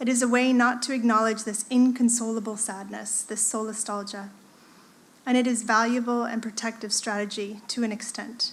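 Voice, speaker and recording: A woman's fairly high, somewhat breathy voice in an American accent, monotone and flat, at a moderate pace with audible room echo. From United States. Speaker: art lecturer and artist. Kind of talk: conference presentation. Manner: hesitant with fillers.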